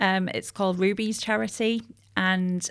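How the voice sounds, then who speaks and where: In a very clean recording with a silent background, a woman with a Teesside accent speaks at a fairly slow pace, medium pitch and fairly even intonation. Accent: northern English (Teesside). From northern England, Middlesbrough (Teesside). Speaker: communications agency director. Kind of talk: podcast interview.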